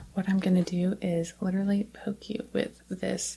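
A woman speaks softly in a gentle tone. Light background noise can be heard. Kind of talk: soft role-play talk to viewer. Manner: soft-spoken, gentle, hushed ASMR voice.

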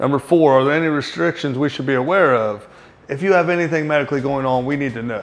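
Faint music plays in the background as a man speaks with fairly even intonation. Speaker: fitness coach. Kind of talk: explanatory tutorial to camera. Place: shop. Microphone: lapel.

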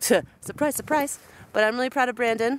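A woman talks at a fairly quick pace with ordinary pitch variation. The sound is dry, with no echo. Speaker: camper vlogger. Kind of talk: casual vlog chat. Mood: amused despite being stuck. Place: open country. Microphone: phone near.

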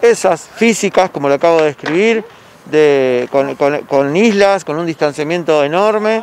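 Light background noise and a dry sound with no echo around a man's high pitch at a moderate pace. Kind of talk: interview answer. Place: street. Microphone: handheld.

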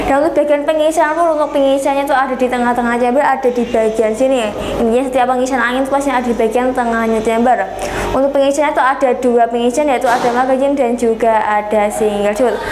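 A woman talks very fast at a high pitch with hardly any pauses. Her intonation stays fairly even over noticeable background noise. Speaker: online airgun shop seller. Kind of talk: sales pitch. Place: shop.

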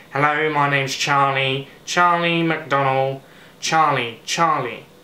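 Doing a put-on character voice, a man speaks nasally at a fairly high pitch and a very slow pace, monotone and flat, with audible echo. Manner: trying to get the tone right.

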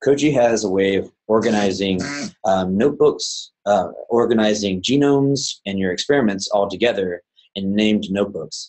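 In an American accent, a normal speaking voice moves at a moderate pace with ordinary pitch variation over a quiet background. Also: man, fairly low pitch for a man. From US South (Georgia). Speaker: plant scientist and bioinformatics presenter; presenter. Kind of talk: webinar software demonstration. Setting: online webinar. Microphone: webcam.

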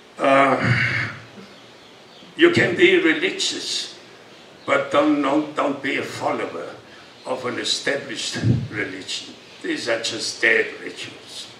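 With light background noise and audible room echo, a man talks at a very slow pace, leaving long, frequent pauses. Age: 80s+. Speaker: yoga teacher. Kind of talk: speech to an audience with Q&A. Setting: live talk with audience. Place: stage. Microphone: camera far.

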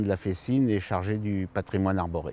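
With a dark, mellow tone and fairly low pitch, a man speaks at a fairly slow pace with fairly even intonation, in a dry sound with no echo. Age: 60s. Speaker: future permanent deacon, retired civil servant. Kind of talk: personal testimony interview. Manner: hesitant, many fillers. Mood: warm, smiling, calm. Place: garden. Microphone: lapel.

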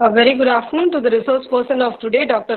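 A woman speaks at a high pitch. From India. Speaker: faculty member. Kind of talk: prepared remarks. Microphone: video call.

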